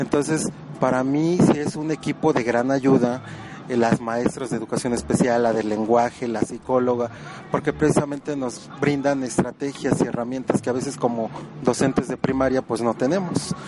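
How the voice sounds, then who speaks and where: A man keeps a medium pitch and fairly even intonation while noticeable noise runs in the background. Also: moderate pace. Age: 20s. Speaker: school administrator. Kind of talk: interview.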